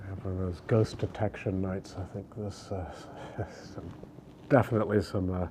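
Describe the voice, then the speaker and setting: A man whispers with long, frequent pauses. His loudness rises and falls sharply. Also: moderate pace. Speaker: travel vlogger. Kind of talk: walking tour vlog. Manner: whispering.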